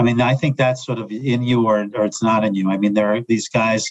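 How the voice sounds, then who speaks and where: In a plain, everyday voice, a man speaks at a moderate pace and medium pitch with fairly even intonation, the sound dry and close with no echo. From New York area. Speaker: sports psychologist. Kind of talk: interview.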